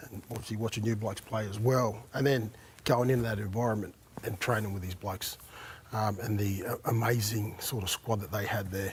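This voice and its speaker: A man with an Australian accent, fairly low in pitch, at a fairly quick pace. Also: fairly even intonation. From Brisbane, Australia. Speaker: former rugby league player. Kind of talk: casual chat. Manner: halting.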